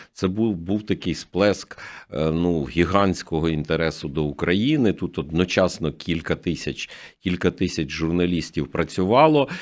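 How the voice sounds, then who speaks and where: A man with a very deep, low pitch speaks at a fairly slow pace. His pitch varies in an ordinary way over a very clean recording with a silent background. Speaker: news agency director. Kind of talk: radio interview. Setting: studio.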